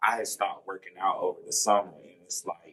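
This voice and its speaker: This man talks at a fairly quick clip. He has a Southern US accent. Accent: Southern country. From US South, Statesboro, Georgia. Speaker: college student. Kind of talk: podcast interview.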